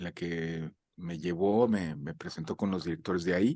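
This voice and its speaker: In a Mexican accent, a man speaks at a fairly slow pace with a very deep, low pitch and ordinary pitch variation. The background is quiet. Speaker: voice actor. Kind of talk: interview. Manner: halting, with many fillers.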